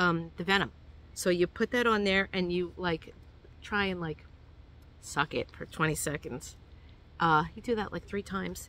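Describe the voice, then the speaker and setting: With a New York accent and a bright, sharp tone, a woman speaks at a fairly low pitch and moderate pace, with ordinary pitch variation and long, frequent pauses. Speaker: hiking vlogger. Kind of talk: tutorial. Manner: casual, hesitant with many fillers.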